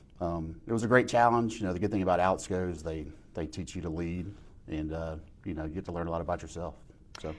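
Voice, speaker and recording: Talking at a very fast pace, a man with a very deep, low pitch and a Southern US accent shows ordinary pitch variation. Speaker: sales manager. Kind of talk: casual interview. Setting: at a company sales meeting.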